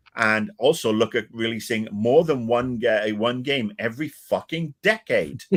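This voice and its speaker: In a British accent, a man talks at a fairly slow pace with hardly any pauses. His tone is animated, with a medium pitch and ordinary pitch variation. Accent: British-sounding. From Wales. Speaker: video game commentator. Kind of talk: casual chat.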